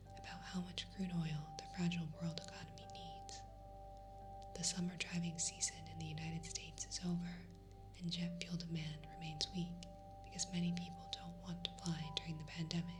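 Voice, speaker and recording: The voice is soft-spoken, with a calm tone and a moderate pace. Music plays in the background. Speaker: ASMR news reader. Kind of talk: relaxing news reading. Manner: soft-spoken, calm.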